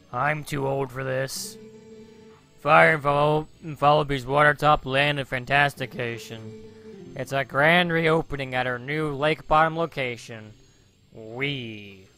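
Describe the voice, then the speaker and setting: With faint music in the background, a man puts on a character voice at a medium pitch. He speaks at a fairly slow pace. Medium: game stream. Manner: sarcastic, deadpan, weary.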